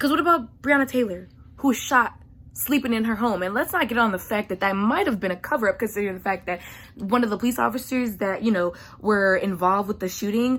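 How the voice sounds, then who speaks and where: At a very fast pace, a woman speaks with an animated tone, a fairly high pitch, and ordinary pitch variation. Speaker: vlogger. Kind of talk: rant. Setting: at home at night. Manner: loud.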